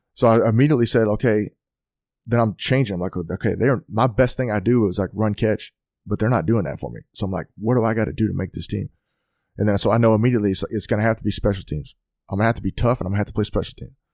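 A man with a Texan accent talking very fast at a fairly low pitch, in a dry, close sound with no echo on a very clean recording with a silent background. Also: ordinary pitch variation. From Texas, near Fort Worth. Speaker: football coach and former NFL player. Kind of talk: casual chat.

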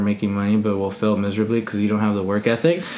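A man speaks very fast at a medium pitch. Noticeable background noise is present. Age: 20s. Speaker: podcast host. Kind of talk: casual chat.

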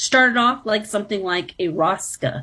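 A woman with a Canadian accent speaks at a moderate pace and medium pitch with ordinary pitch variation, in an ordinary speaking voice. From Toronto, Canada. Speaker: professor. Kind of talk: interview.

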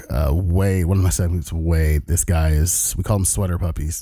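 A man speaks at a moderate pace in a very deep, low pitch. Noticeable background noise runs underneath. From Southern California (Long Beach). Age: 30s. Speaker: podcast host, Navy veteran. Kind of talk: casual monologue. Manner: casual, filler-heavy.

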